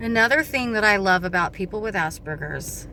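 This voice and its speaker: A woman keeps a moderate pace and ordinary pitch variation while noticeable background noise carries on. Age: 40s. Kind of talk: casual talk to camera.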